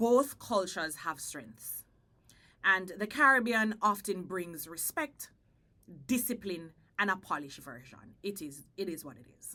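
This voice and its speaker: With a Jamaican accent, a woman of medium pitch speaks fairly slowly in a bright, sharp tone, her pitch swinging very widely and her loudness shifting greatly, with long, frequent pauses. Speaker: podcast host. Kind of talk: casual chat.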